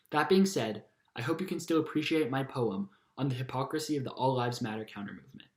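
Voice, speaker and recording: Speaking at a very fast pace, a man with a medium pitch sounds somewhat breathy and uses lively intonation. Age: young. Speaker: spoken word poet. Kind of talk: spoken introduction to a poem.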